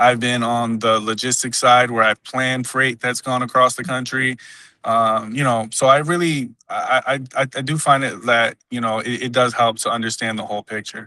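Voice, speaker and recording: A man speaks at a moderate pace with a bright, sharp tone, medium pitch and fairly even intonation, against a quiet background. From Dominican Republic until six, then raised in US. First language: Spanish. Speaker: job candidate, logistics professional. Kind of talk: job interview. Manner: halting, many fillers and restarts.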